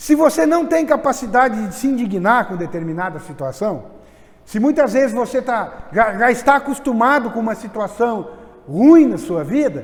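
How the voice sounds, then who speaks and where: Noticeable background noise sits behind a man with an extremely high pitch. He talks at a moderate pace with lively intonation. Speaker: preacher. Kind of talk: sermon.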